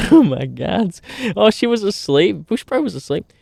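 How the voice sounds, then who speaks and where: A man speaks in an animated tone with an Australian accent, his voice dry and close with no echo on a very clean recording over a silent background. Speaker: streamer. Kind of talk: casual chat. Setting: outdoors by a campfire.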